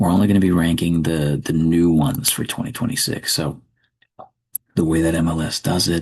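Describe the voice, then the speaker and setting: At a fairly quick pace, a man with a very deep, low pitch talks with ordinary pitch variation. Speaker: ASMR creator. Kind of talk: ASMR commentary, low voice. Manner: low voice, not whispering.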